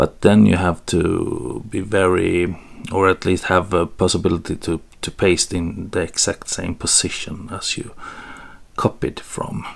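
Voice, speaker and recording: A man's very deep, low voice with vocal fry and a Swedish accent, at a fairly slow pace. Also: ordinary pitch variation. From Sweden. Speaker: photography tutorial creator. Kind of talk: tutorial. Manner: hesitant, with fillers.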